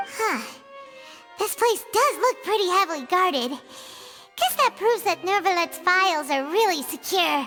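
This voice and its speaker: Over clear music in the background, a put-on character voice with an extremely high pitch moves at a moderate pace. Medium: video game.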